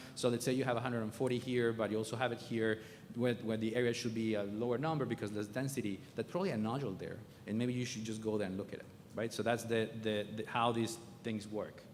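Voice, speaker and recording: A man talks at a very fast pace. Audible room echo can be heard. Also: medium pitch for a man, fairly even intonation. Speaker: oncologist. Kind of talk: lecture.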